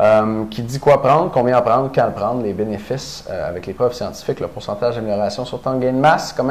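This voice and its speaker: There is noticeable background noise behind the speaker. A man talks at a very fast pace in a medium pitch. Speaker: fitness coach and researcher. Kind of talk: casual promotional chat.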